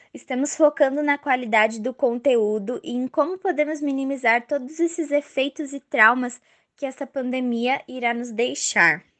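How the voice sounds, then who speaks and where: Pitched high, a woman's voice moves at a moderate pace with hardly any pauses and ordinary pitch variation. The sound is dry and close with no echo, and the background is quiet. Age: 20s. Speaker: dance teacher. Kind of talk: prepared testimony.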